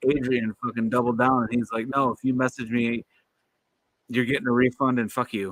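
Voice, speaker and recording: A man speaks with an American accent at a medium pitch. His intonation is monotone and flat, and the sound is dry and close with no echo. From Michigan. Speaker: knife collector livestreamer. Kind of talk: casual livestream chat. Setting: livestream.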